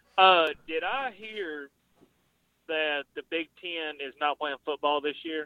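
A man with a fairly high pitch uses a normal speaking voice and ordinary pitch variation. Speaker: caller. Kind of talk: casual sports talk call-in. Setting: phone call.

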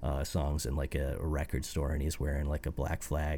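Very deep and low, a man's voice has a dark, mellow tone, vocal fry and monotone, flat intonation. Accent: American. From US Midwest, Fort Wayne, Indiana. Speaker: musician. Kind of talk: casual chat. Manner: halting, frequent fillers and repeats.

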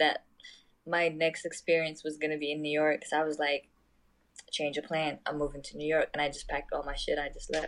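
A woman with an unremarkable speaking voice and fairly low pitch talks at a fairly quick pace. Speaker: podcast guest. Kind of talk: casual chat. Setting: phone call.

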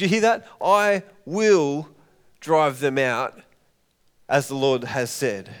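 At a very slow pace, a man with an Australian accent speaks at a fairly high pitch, using lively intonation and long, frequent pauses. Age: 30s. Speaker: pastor. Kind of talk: sermon. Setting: church.

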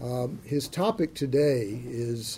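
A man's medium-pitched, somewhat breathy voice carries a dark, mellow tone. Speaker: center director and event moderator. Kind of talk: event introduction. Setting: stage with audience. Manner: halting, many fillers.

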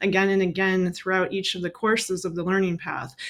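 At a fairly quick pace, a woman speaks in a normal speaking voice at medium pitch, on a very clean recording with a silent background. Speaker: neuroscientist turned cloud trainer. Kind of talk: casual interview chat. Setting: live stream.

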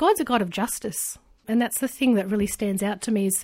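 In an Australian accent, a woman at medium pitch speaks with a dark, mellow tone on a very clean recording with a silent background. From rural New South Wales, Australia. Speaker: adoptee sharing her story. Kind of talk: interview.

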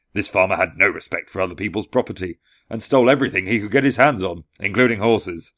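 Over a quiet background, a man speaks in an ordinary speaking voice at a fairly low pitch with ordinary pitch variation. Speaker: podcast host. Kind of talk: fairy-tale narration. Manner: measured, storyteller's cadence with hushed menace on the eerie moments.

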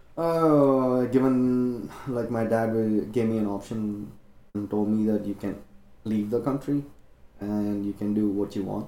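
A man's medium-pitched voice, dark and mellow in tone, at a fairly slow pace. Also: ordinary pitch variation. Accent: Indian. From India. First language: Indian language. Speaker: medical student. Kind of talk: casual chat.

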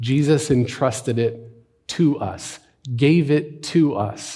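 With audible room echo, a man of medium pitch speaks at a very slow pace in a dark, mellow, somewhat breathy tone with ordinary pitch variation. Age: 40s. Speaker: pastor. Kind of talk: sermon.

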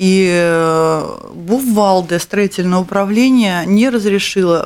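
A woman speaks in a plain, everyday voice. Her pitch is medium, with ordinary pitch variation. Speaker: radio host. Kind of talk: charity radio show. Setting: studio. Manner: warm.

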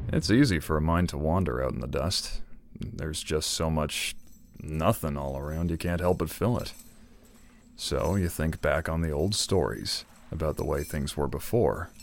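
Weary in tone, a man with a very deep, low pitch and vocal fry talks at a moderate pace with ordinary pitch variation on a very clean recording with a silent background. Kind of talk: noir western narration. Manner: weary, world-worn, laconic.

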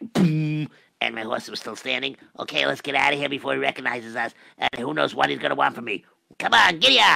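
Raspy and medium-pitched, a man talks at a very fast pace with very wide pitch swings. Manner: flustered, fast, nervous.

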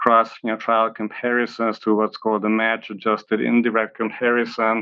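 A man with a Hungarian accent keeps a medium pitch and monotone, flat intonation at a moderate pace. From Hungary (Budapest). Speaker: oncology professor. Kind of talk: interview. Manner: hesitant, many fillers and repeats.

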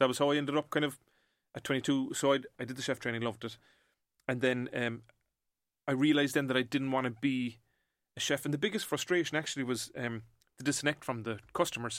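On a very clean recording with a silent background, a man with a Cork accent talks at a very fast pace and a medium pitch, with fairly even intonation and long, frequent pauses. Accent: Cork Irish. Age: 40s. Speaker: entrepreneur. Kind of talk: casual interview chat.

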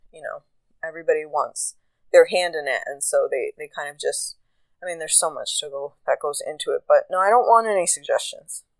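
Speaking with an American accent at a fairly quick pace, a woman shows big swings in loudness, recorded dry and close with no echo. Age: 30s. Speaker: podcast host. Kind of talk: solo monologue. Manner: casual. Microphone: new recording app.

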